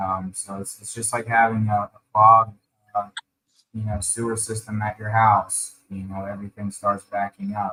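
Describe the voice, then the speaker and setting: A soft-spoken man with a fairly low, bright and sharp voice talks at a moderate pace in monotone, flat intonation, his loudness swinging widely, in a dry, close sound with no echo. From Ukraine, moved to US at age eight. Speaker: colon hydrotherapist, wellness practitioner. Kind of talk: podcast interview. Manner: halting, many fillers. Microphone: too quiet, far from the mic.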